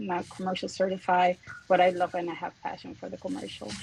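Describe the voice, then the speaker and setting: Noticeable background noise runs under this recording. A woman speaks with a Puerto Rican accent. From Puerto Rico. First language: Spanish. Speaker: real estate broker. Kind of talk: self-introduction in a group call.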